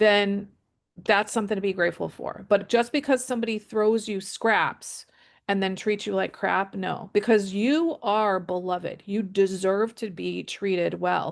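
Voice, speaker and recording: Against a quiet background, the speaker goes at a fairly slow pace with ordinary pitch variation. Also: woman, medium pitch for a woman. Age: 60s. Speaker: boundaries coach. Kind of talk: interview. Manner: halting.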